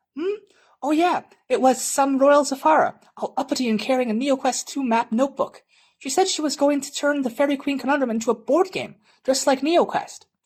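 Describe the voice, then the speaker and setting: Someone uses a put-on character voice at a high pitch, talking at a fairly quick pace. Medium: read story.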